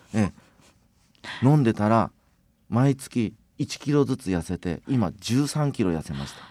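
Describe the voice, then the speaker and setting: In a very clean recording with a silent background, a man speaks fairly slowly with long, frequent pauses. His dark, mellow tone shows very wide pitch swings and big shifts in loudness, and the sound is dry and close with no echo. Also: medium pitch for a man. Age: 50s. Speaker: vinegar company chairman. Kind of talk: radio interview.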